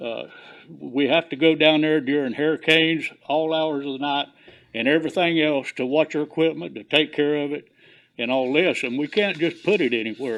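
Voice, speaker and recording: A man with a Southern US accent, fairly high in pitch, at a moderate pace with ordinary pitch variation. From US South, Clewiston, Florida. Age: 70s. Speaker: commercial fisherman, veteran. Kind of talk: public comment at commission meeting.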